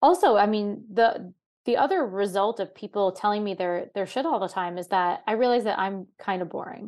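A woman's unremarkable speaking voice with an American accent, medium pitch, ordinary pitch variation, moderate pace, and a quiet background. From New York. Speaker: comedian. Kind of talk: casual chat.

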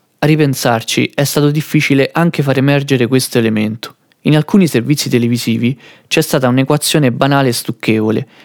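This man speaks very fast at a fairly high pitch, with fairly even intonation and very even loudness, in a dry, close sound with no echo. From central Italy. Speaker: podcast author and interviewer. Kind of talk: scripted narration.

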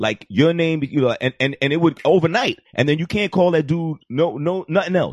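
Speaking at a moderate pace with a New York accent, a man has a fairly high pitch and ordinary pitch variation in a dry, close sound with no echo. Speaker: comedy podcast guest. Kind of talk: casual chat. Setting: studio with live internet audience.

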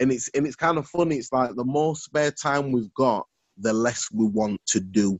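A man speaks with a Yorkshire accent. His pitch is medium and his pace is moderate. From Sheffield, northern England. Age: 30s. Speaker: podcaster. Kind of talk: casual chat.

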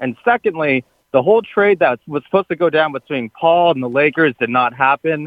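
Lively intonation carries this man's speech, delivered with an American accent. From Southern California, Orange County. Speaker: sports radio caller. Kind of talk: call-in sports talk. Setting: phone call.

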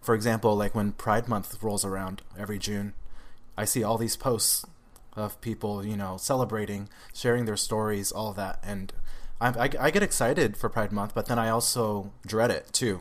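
An ordinary speaking voice from a man, fairly low in pitch, with fairly even intonation and a moderate pace. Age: 20s. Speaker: social media creator and guest sharing his coming-out story. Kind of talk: casual interview conversation.

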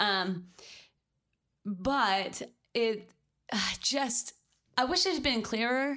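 A woman with a Southern US accent and lively intonation, on a very clean recording with a silent background. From US South. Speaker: podcast co-host. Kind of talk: casual chat.

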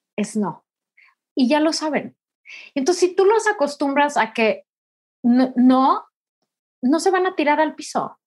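A woman speaks fairly slowly with long, frequent pauses. Her high voice swings very widely in pitch. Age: 40s. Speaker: writer and speaker. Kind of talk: interview conversation.

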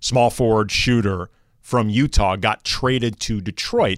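An ordinary speaking voice with an American accent moves at a moderate pace in a very clean recording with a silent background. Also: man. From US Midwest, St. Louis. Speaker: sports radio co-host. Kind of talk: sports talk radio chat.

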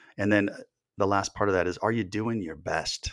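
A man with a very deep, low voice talks at a moderate pace with ordinary pitch variation, captured in a very clean recording against a silent background. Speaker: author. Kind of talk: casual interview chat. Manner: hesitant, filler words.

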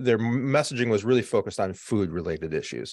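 Against a quiet background, a man with an unremarkable speaking voice talks in a medium pitch with lively intonation. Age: 50s. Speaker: marketing agency executive. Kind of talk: interview.

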